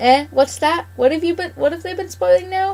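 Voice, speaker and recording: A woman puts on a character voice at an extremely high pitch. She talks at a fairly quick pace with ordinary pitch variation. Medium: read story. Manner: scolding.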